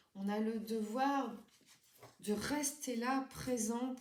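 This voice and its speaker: A woman's voice with audible room echo. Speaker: tarot card reader. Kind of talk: tarot reading for viewers. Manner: hesitant, many fillers.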